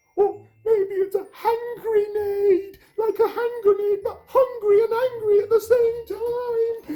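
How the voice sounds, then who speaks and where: Pitched extremely high, the man performs in a put-on character voice. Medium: read story. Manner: panicky, fretful.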